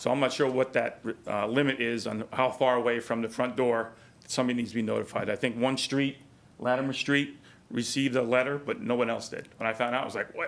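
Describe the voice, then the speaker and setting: Speaking very fast in a New York accent, a man keeps a medium pitch with monotone, flat intonation. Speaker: resident speaking at public hearing. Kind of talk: public comment at council meeting.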